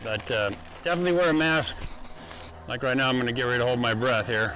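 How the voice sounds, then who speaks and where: Against noticeable background noise and audible room echo, a man talks at a very fast pace with very even loudness and ordinary pitch variation. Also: medium pitch for a man. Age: 60s. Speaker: concrete contractor and course teacher. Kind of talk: tutorial. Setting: outdoors. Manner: casual, with fillers.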